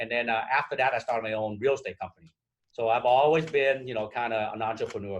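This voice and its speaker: With a Vietnamese accent, a man speaks at a very fast pace with lively intonation. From Vietnam, emigrated at 12 to Minnesota. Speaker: real estate broker. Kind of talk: interview. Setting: podcast.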